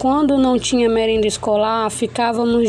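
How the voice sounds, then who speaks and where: Over noticeable background noise, a woman with a fairly high pitch speaks at a moderate pace with fairly even intonation. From Brazil, Roraima (Caroebe). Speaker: university student. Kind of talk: class presentation. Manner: halting.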